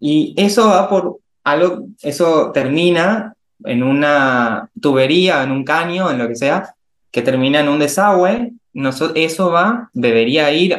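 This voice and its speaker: A man speaks in an ordinary speaking voice at a fairly high pitch. His intonation is lively. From Argentina, Resistencia, Chaco. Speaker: chemical engineer. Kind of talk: interview conversation.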